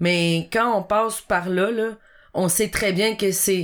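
Recorded very cleanly against a silent background, a woman speaks at a very slow pace with medium pitch and ordinary pitch variation. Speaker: podcast co-host. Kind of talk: casual chat.

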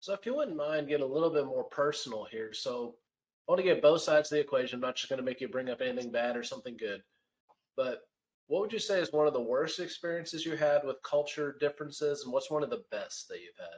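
Speaking at a very fast pace, a man has a fairly high pitch for a man and ordinary pitch variation. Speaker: podcast host. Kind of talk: casual interview.

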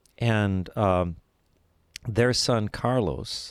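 With an American accent, a man talks with vocal fry. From US West Coast, East Los Angeles. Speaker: scientist and former TV science correspondent. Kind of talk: interview.

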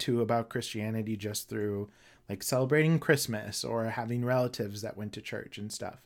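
In an American accent, a man at medium pitch speaks at a moderate pace in an ordinary speaking voice, captured on a very clean recording with a silent background. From Minnesota. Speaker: astrologer and educator. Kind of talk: interview.

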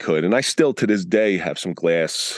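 A man speaks with a very deep, low pitch and lively intonation. The sound is dry and close, with no echo. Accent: American. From US Northeast, Atlantic City area, New Jersey. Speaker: retired police officer and podcaster. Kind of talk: interview. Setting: video call.

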